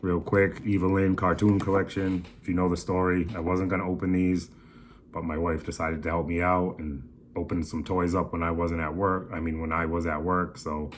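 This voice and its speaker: A man speaks at a fairly quick pace. His very deep, low voice stays in a monotone, flat intonation. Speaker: toy collector vlogger. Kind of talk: casual haul video. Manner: casual, profane slang.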